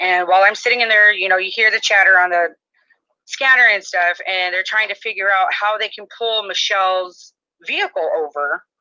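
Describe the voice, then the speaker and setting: A loud woman speaks at medium pitch with a bright, sharp tone and fairly even intonation. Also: moderate pace. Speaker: mother describing her arrest. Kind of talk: testimony. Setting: live stream.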